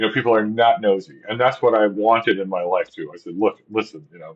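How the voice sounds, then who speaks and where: At a very fast pace, a man speaks with a medium pitch and ordinary pitch variation. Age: old. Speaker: vlogger. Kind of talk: casual monologue. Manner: halting.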